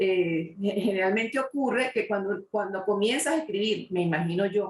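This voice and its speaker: At a moderate pace, a woman speaks in an unremarkable speaking voice. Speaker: interviewer, talk show host. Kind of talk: interview question.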